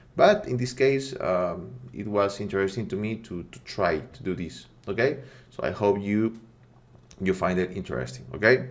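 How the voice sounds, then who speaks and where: With a non-native accent, a man speaks at a moderate pace in a fairly low pitch, with very wide pitch swings and big swings in loudness. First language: not English. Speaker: 3D rendering tutorial creator. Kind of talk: tutorial. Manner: halting, many fillers and repetitions; casual, friendly.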